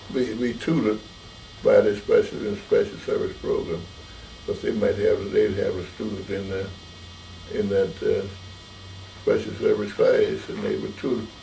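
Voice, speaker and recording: A man pauses long and often while speaking at a moderate pace against noticeable background noise. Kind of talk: oral history interview answer. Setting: interview.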